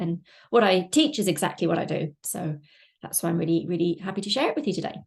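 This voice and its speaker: Somewhat breathy delivery at a very fast pace. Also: woman. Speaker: online business coach. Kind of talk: webinar presentation.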